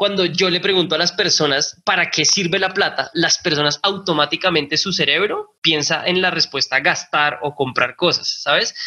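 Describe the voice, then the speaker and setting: Over noticeable background noise, a man with a high-pitched voice talks at a moderate pace. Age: 30s. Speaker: personal finance educator. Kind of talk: interview. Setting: remote call. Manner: animated.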